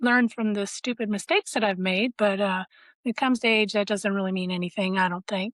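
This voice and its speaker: Her fairly high voice shows ordinary pitch variation as the woman talks at a fairly quick pace, with a dry, close sound with no echo and a quiet background. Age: 60s. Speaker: community member. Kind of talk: casual chat. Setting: video call.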